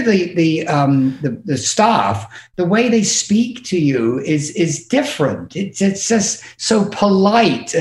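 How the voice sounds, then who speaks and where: A speaker with an English accent swings very widely in pitch, barely pauses at all, and keeps the loudness very even. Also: man. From England. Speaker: podcast guest, music industry manager.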